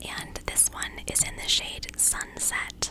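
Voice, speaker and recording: The voice is a woman's. Everything comes out in a whisper. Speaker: ASMR-style creator. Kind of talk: ASMR get ready with me chat. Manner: whispered. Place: home room. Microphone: studio mic.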